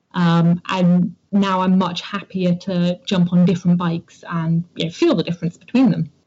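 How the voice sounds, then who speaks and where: A woman speaks at a moderate pace and a fairly low pitch, somewhat breathy and flat in a monotone, with hardly any pauses. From southern England, Dorset. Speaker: amateur mountain bike racer. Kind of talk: interview.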